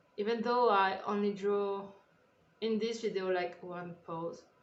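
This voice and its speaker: Fairly slow, medium-pitched talking from a woman, with room echo clearly heard. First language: French. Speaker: artist and YouTuber. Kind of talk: drawing tutorial voiceover. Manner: halting; casual.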